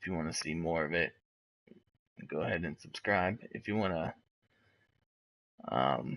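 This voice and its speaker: A quiet man with a very deep, low voice and vocal fry speaks at a moderate pace, his pitch varying in an ordinary way between long, frequent pauses. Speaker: gaming streamer. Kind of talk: live gameplay commentary. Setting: at home, wife sleeping nearby. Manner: quiet, talking low; casual, with filler words.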